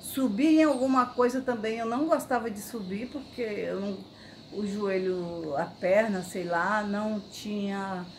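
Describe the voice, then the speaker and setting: Noticeable background noise surrounds this recording. A woman talks with ordinary pitch variation. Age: 60s. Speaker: patient giving a testimonial. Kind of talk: patient testimonial. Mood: calm, pleased. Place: garden. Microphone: phone near.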